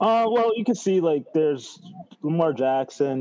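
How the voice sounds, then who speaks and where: At a fairly slow pace, a man talks in a normal speaking voice. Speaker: fantasy football podcast co-host. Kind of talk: casual chat, mock draft.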